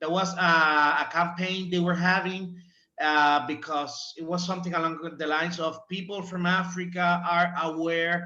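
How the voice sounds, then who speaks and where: Speaking at a fairly slow pace, a man with a high pitch keeps a monotone, flat intonation, and audible room echo surrounds his voice. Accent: Spanish. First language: Spanish. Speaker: former student, symposium presenter. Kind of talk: panel discussion. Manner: halting.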